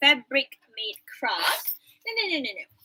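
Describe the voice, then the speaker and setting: The voice is raised and projected, with a Malaysian accent, at a fairly slow pace. The sound is dry and close, with no echo. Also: woman. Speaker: university English lecturer. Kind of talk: online class lecture. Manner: code-switching English and Malay.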